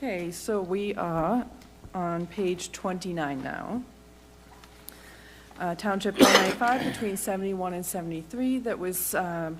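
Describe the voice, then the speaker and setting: With long, frequent pauses, a woman at medium pitch talks fairly slowly with ordinary pitch variation amid noticeable background noise. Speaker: municipal staff presenter. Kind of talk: report presentation. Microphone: too far from the mic at first.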